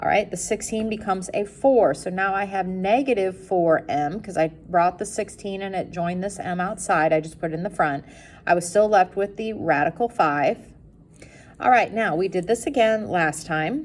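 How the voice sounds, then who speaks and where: This woman has a normal speaking voice, talking at a moderate pace with medium pitch and ordinary pitch variation. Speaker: math teacher. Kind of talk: classroom lecture.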